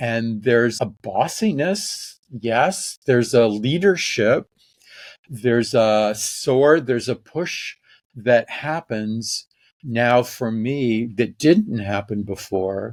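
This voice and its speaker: With an American accent, a man speaks at a very slow pace and medium pitch, his pitch varying in an ordinary way, on a very clean recording with a silent background. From US Midwest, St Louis. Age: 70s. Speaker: workshop facilitator and intimacy teacher. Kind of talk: podcast interview. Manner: passionate.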